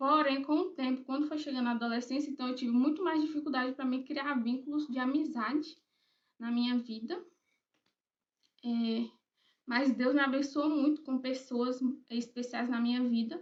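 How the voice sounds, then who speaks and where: The speaker keeps a moderate pace and fairly even intonation, with long, frequent pauses. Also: woman, high pitch for a woman. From Brazil, Bahia (Eunápolis, rural area). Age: 20s. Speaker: writer, YouTuber. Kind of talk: personal vlog introduction. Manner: casual, hesitant with fillers.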